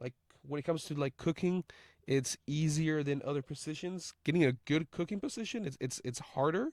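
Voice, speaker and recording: A man with an ordinary speaking voice talks at a fairly quick pace and a fairly high pitch, with ordinary pitch variation. The recording is very clean, with a silent background and a dry, close sound with no echo. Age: 20s. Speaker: podcaster and line cook. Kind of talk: casual monologue. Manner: casual with many fillers and repetitions.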